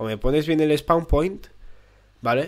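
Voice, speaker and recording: A man with a Spanish accent and lively intonation. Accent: Peninsular Spanish. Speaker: gaming YouTuber. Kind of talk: gameplay commentary. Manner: animated.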